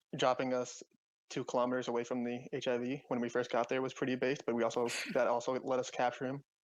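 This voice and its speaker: A man's very fast, monotone delivery with flat intonation. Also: medium pitch for a man. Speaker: gamer in squad. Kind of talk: casual chat. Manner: talkative.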